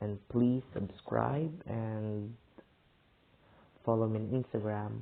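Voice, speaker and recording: A man with a fairly low pitch speaks at a very slow pace, leaving long, frequent pauses. His pitch variation is ordinary. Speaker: youtuber reacting to videos. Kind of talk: casual video outro. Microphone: phone recording.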